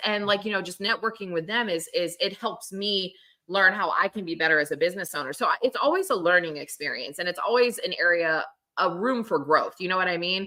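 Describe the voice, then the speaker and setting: The woman's tone is animated and her pitch is medium. Her pitch variation is ordinary. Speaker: photographer and conference speaker. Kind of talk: casual chat. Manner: loud.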